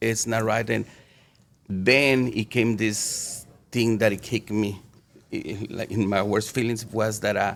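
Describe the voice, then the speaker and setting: A man with a Mexican accent speaks with a fairly low pitch and monotone, flat intonation. His pace is fairly slow, with long, frequent pauses. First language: Spanish. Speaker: city councilman. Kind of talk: podcast interview. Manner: halting.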